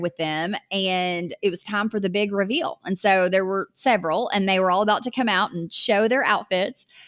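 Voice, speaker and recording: Recorded very cleanly with a silent background, a woman speaks at medium pitch and a moderate pace. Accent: Southern US. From US South. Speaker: online business coach. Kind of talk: podcast monologue. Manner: conversational.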